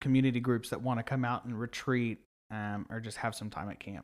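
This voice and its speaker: With an American accent, a man speaks at medium pitch in an unremarkable speaking voice with fairly even intonation. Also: very clean recording, silent background. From Oklahoma, US. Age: 20s. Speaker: nonprofit camp marketing director. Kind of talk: casual interview.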